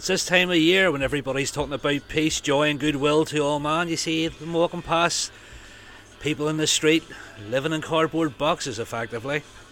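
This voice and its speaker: With a Northern Irish accent, a man speaks at a fairly quick pace. Noticeable background noise runs underneath. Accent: Northern Irish (Belfast). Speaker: rock radio DJ. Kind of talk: radio DJ links between songs. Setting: radio studio. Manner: casual, chatty.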